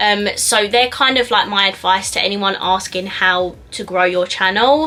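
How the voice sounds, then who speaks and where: A woman's medium-pitched voice at a fairly slow pace, with ordinary pitch variation and noticeable background noise. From south-east England, Essex. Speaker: beauty YouTuber. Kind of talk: casual Q&A vlog.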